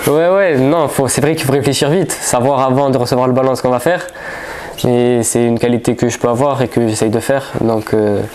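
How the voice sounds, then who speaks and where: Audible room echo and noticeable background noise surround a man. He has a medium pitch and a fairly quick pace. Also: ordinary pitch variation. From France, Marseille. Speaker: footballer. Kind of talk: press conference. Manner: halting.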